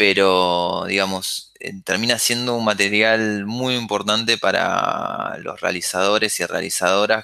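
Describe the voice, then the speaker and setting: A man talks at a fairly slow pace. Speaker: filmmaker. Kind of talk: interview conversation. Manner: halting with repetitions.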